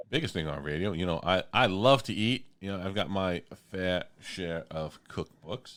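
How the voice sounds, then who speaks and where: With a strong New York accent, a man talks at a moderate pace in a very deep, low voice with ordinary pitch variation. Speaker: radio host. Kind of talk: radio interview. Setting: radio studio.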